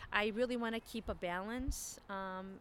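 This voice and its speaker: With an American accent, this is a plain, everyday voice moving at a moderate pace with fairly even intonation. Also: woman. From Chicago, US Midwest. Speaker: communications graduate. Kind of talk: casual interview.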